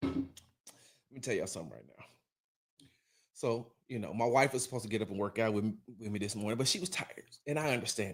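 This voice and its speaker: Very fast but broken by long, frequent pauses, a man speaks at a medium pitch with ordinary pitch variation and big swings in loudness. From Texas. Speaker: sports podcast host. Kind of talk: casual sports talk show. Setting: home, wife sleeping in other room. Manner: animated.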